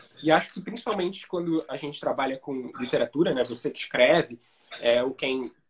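Speaking at a fairly quick pace, a man with a plain, everyday voice uses lively intonation at a fairly high pitch. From Brazil, Rio de Janeiro. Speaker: writer and screenwriter. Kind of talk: casual interview on a live stream. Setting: Instagram live video call.

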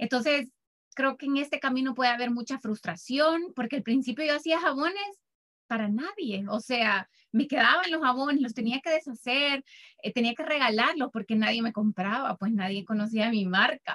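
A woman with a Salvadoran accent speaks at a moderate pace with lively intonation and high pitch. Her tone is bright and sharp, and the sound is dry and close with no echo. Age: 30s. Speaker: soap maker and business founder. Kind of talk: interview.

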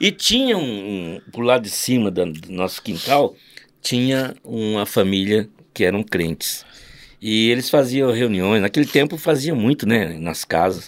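A man talks at a medium pitch and a fairly slow pace in an ordinary speaking voice with lively intonation. The recording is very clean, with a silent background. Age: 60s. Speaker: father of a podcast host, church musician. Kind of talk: casual chat with storytelling.

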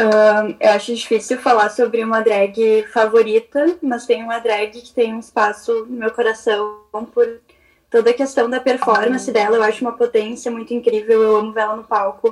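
A woman's unremarkable speaking voice, fairly high in pitch, at a moderate pace with fairly even intonation and big swings in loudness. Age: 20s. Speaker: law student. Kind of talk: casual chat. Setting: video call.

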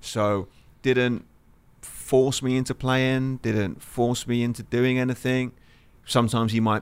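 In an English accent, a man speaks at a fairly slow pace, his medium pitch carried by fairly even intonation. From southeast England (Lewes, near Brighton). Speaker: football coach and former national team player. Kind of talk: casual interview.

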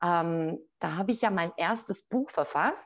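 A woman speaks at a very slow pace with lively intonation. Behind her, the background is quiet. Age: 40s. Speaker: author and business coach. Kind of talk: interview.

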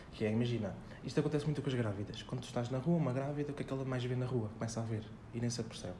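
A man speaks very fast at medium pitch with fairly even intonation. Noticeable background noise and audible room echo are present. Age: 20s. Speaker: personal development author and former cook. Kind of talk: casual interview chat.

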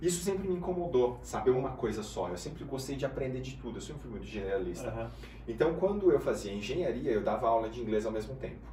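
A man speaks at a very fast pace with big swings in loudness, with audible room echo and noticeable background noise. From Brazil, Guarulhos (São Paulo). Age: 30s. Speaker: business mentor. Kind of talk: casual interview.

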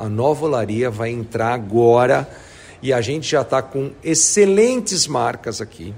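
An enthusiastic man speaks with a medium pitch and a somewhat breathy voice. His pitch swings very widely. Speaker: real estate executive. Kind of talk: interview. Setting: on site at a construction project.

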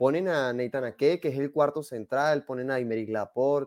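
A man's dark, mellow voice at medium pitch and moderate pace, dry and close with no echo against a quiet background. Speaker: football pundit. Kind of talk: casual chat.

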